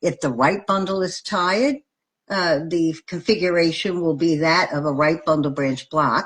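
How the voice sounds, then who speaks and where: A woman speaks at a moderate pace in a plain, everyday voice, her pitch fairly low with ordinary variation. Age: 60s. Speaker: nurse educator. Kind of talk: lecture. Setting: live video stream.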